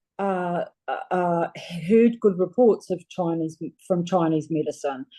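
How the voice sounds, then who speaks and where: Her dark, mellow tone sits at a fairly low pitch as a woman speaks at a fairly slow pace with ordinary pitch variation. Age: 60s. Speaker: patient giving testimonial. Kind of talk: testimony. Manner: halting, many fillers.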